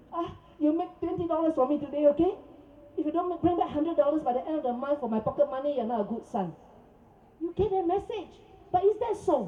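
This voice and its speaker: Animated and high-pitched, a woman talks at a very fast pace with lively intonation, yet leaves long, frequent pauses. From Singapore. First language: Cantonese. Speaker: protest speaker. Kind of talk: press conference. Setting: press conference.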